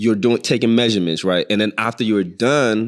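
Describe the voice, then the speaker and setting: A man's fairly low voice at a fairly quick pace. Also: very clean recording, silent background. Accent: slight Nigerian. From northern Nigeria. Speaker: chef. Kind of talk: casual interview.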